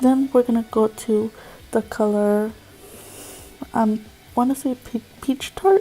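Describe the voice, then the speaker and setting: Against noticeable background noise, a woman speaks at a fairly slow pace. Her intonation is monotone and flat. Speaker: beauty vlogger. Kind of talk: makeup tutorial voiceover. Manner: hesitant, many fillers.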